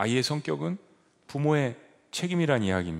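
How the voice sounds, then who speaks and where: A man speaks at a moderate pace. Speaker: pastor. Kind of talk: sermon. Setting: church.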